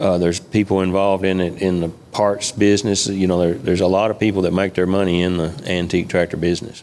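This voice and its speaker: A man with a Kentucky accent talks at a very fast pace in a very deep, low pitch. His intonation is monotone and flat, and his loudness stays very even. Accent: Kentucky Southern. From western Kentucky. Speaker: farmer and tractor collector. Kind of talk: casual interview. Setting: studio with live audience.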